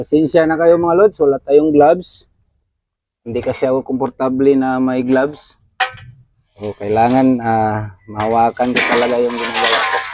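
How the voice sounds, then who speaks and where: A man at medium pitch, ordinary pitch variation, moderate pace. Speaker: DIY YouTuber. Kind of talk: tutorial. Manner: casual, with fillers.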